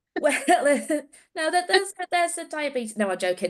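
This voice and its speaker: This speaker has a Yorkshire accent and a moderate pace. The pitch swings very widely. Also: woman. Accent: Yorkshire accent, noticeable. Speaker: research nurse. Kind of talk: casual chat.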